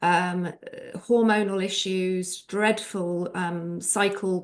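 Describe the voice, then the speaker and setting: A woman in a British accent, medium in pitch, with monotone, flat intonation and a very slow pace. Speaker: nutritional therapist. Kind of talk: casual chat. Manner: hesitant, many filler ums.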